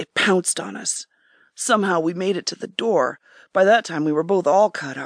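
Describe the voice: Against a quiet background comes plain reading aloud with ordinary pitch variation.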